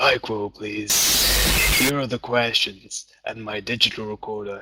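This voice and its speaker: This man's put-on character voice is raspy and sits at a medium pitch. The sound is dry and close, with no echo. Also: moderate pace. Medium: read story.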